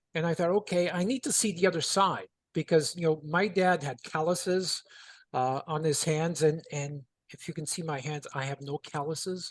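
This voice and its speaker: Speaking in an ordinary speaking voice, a man with a fairly high pitch talks at a moderate pace with ordinary pitch variation, in a dry, close sound with no echo and a quiet background. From Canada, Toronto. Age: 60s. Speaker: contractor and business coach. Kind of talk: interview storytelling.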